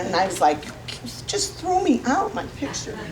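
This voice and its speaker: A loud woman at a moderate pace, with audible room echo and noticeable background noise. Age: 60s. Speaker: comedian. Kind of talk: stand-up comedy performed seated. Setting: stage with audience.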